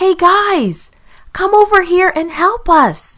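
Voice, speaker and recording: A put-on character voice sounds squeaky and extremely high. It moves at a fairly slow pace. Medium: read story.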